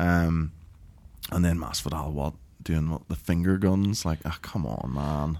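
A man with a Northern Irish accent speaks at a fairly slow pace. His very deep, low voice has a dark, mellow tone and ordinary pitch variation. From Northern Ireland. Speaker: MMA podcast host. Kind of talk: casual banter.

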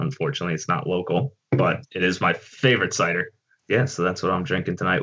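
A man with an American accent, very deep and low in pitch, fairly quick, with very wide pitch swings. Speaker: supporters club board member. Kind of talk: casual chat.

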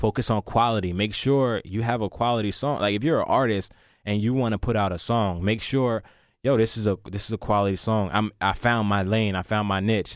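A man with a normal speaking voice talks at a fairly quick pace, pitched fairly low with fairly even intonation. The recording is very clean, with a silent background. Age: 20s. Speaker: rapper. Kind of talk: interview.

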